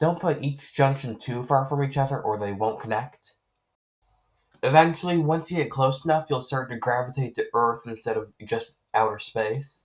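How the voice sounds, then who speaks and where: A somewhat breathy male voice at a medium pitch and a moderate pace. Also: ordinary pitch variation. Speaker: gamer. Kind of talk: game tutorial voiceover.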